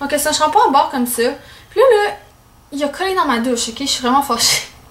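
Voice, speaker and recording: The very fast speech comes through with noticeable background noise and audible room echo. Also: woman. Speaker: beauty vlogger. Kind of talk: casual product review vlog. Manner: animated.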